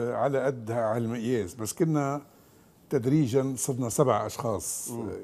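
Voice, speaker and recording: Speaking at a fairly slow pace, a man with a dark, mellow tone uses lively intonation. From Lebanon, Beirut (family from the Chouf); Lebanon. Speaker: economist, former central bank deputy governor; guest. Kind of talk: TV interview. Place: studio. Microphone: lapel.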